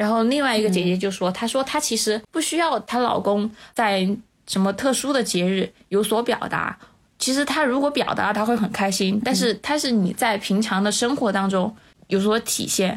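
Recorded very cleanly against a silent background, a woman with a plain, everyday voice speaks at a moderate pace, her fairly high pitch showing ordinary variation and her loudness very even. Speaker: civil servant. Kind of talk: casual chat.

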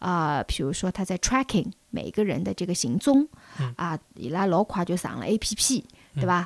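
On a very clean recording with a silent background, a woman at medium pitch shows very wide pitch swings and vocal fry. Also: moderate pace. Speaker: podcast guest. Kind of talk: casual chat.

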